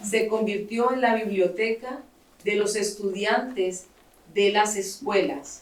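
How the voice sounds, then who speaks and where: A woman with a Spanish accent and fairly high pitch speaks at a fairly slow pace amid audible room echo. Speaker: writer and founder of a library nonprofit. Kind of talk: speech with consecutive interpretation. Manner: pausing for interpreter, short segments.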